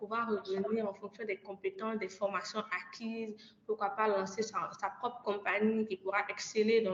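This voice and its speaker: A woman speaks at a fairly slow pace in a fairly high pitch, with noticeable background noise. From Côte d'Ivoire. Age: 20s. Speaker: energy master's student and climate ambassador. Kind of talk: podcast interview.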